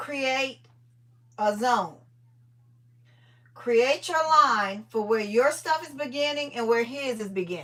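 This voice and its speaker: Her tone is animated as this woman speaks with ordinary pitch variation. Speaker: livestream host, organizing content creator. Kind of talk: casual live chat with viewers. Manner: loud.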